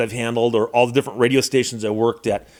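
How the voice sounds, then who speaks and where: The man rattles along at a very fast pace in a very clean recording, the background silent. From US. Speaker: lawyer and YouTuber. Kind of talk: casual monologue, tribute. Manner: conversational, with repetitions and fillers.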